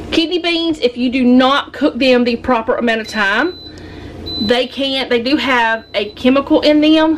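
A woman with a high pitch speaks at a moderate pace with lively intonation over light background noise. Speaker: home cooking vlogger. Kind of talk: casual cooking tutorial chat. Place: kitchen. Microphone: camera far.

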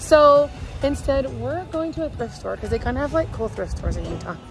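A woman at a moderate pace, with a dry sound, no echo and noticeable background noise. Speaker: family vlogger. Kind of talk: casual vlog chat. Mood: shaken, excited retelling.

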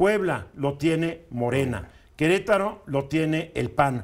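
A high-pitched male voice against a quiet background. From Mexico. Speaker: radio news commentator. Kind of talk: opinion talk on news radio. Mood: opinionated, ironic. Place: studio. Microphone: lapel.

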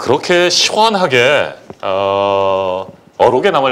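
A man talks with very wide pitch swings. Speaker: live show host, former reporter-turned news anchor. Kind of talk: live talk show. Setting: studio. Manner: formal. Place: studio.

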